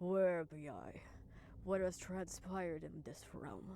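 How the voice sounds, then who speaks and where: A female-sounding put-on character voice, growling at a middle pitch and a fairly slow pace, over clear background noise. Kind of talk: archaic high-fantasy speech. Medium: virtual streamer. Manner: slow, formal.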